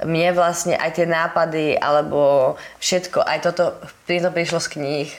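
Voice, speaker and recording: Over noticeable background noise, a woman talks fairly slowly in a fairly low pitch with monotone, flat intonation. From western Slovakia, Holíč. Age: 20s. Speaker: life coach and entrepreneur. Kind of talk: interview.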